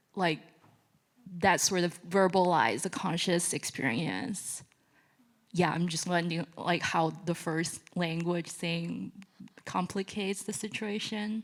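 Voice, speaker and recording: A woman with a Chinese accent speaks at a very slow pace, her fairly low voice showing ordinary pitch variation. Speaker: audience member asking a question. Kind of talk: audience question. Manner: hesitant, many fillers.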